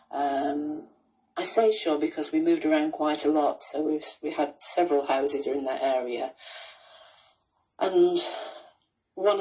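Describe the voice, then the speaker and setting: A woman's very deep, low voice with a dark, mellow tone, ordinary pitch variation and a slight Lancashire accent. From northern England, Rochdale, Lancashire. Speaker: author and pension campaigner. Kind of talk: pre-recorded reminiscence; radio interview. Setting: radio.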